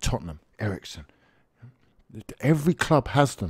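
A man's voice carries a dark, mellow tone, somewhat breathy, with very wide pitch swings. The sound is dry with no echo, and the background is quiet. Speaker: football fan vlogger. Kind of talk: commentary. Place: home room. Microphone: studio mic.

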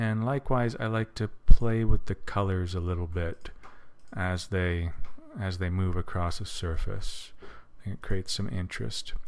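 Fairly slow speech from a man with a very deep, low pitch, ordinary pitch variation, and big swings in loudness. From Canada. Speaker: tutorial creator. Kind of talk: tutorial. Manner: casual with many fillers.

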